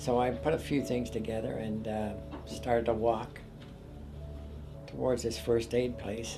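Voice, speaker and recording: The speech moves at a fairly slow pace in a Canadian accent. Music plays in the background. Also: man. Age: 80s+. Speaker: war veteran. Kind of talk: interview answer.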